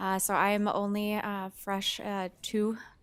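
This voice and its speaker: A woman speaks at a medium pitch with an American accent. Her intonation stays monotone and flat. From US South. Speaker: parks and recreation director. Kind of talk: self-introduction.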